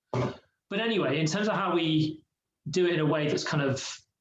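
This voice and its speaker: A man speaks in a plain, everyday voice, fairly high in pitch with ordinary pitch variation. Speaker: podcast co-host. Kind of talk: casual chat.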